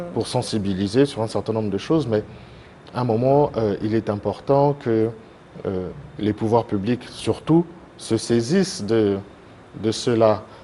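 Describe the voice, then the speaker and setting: A man talks at a fairly slow pace with a medium pitch and ordinary pitch variation. He leaves long, frequent pauses. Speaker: association president, TV guest. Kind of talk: TV interview. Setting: TV studio. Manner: hesitant, many fillers.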